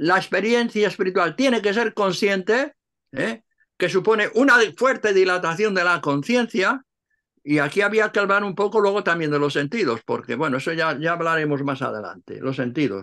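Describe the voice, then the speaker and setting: A man speaks in a raised, projected voice, high-pitched with a bright, sharp tone and lively intonation, over a quiet background. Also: moderate pace. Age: 80s+. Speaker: Cistercian monk and translator; interviewee. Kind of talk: interview. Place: home room. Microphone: video call.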